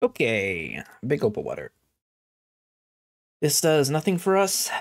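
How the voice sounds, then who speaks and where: The voice has an American accent and very wide pitch swings. The sound is dry and close, with no echo. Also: man. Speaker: gaming streamer. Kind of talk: let's play commentary. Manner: casual, hesitant with fillers.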